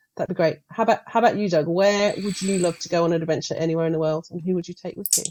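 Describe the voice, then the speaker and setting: Hardly pausing at all, a woman with fairly low pitch races along at a very fast pace in fairly even intonation. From Australia. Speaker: guest host, learning and development professional. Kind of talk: podcast interview.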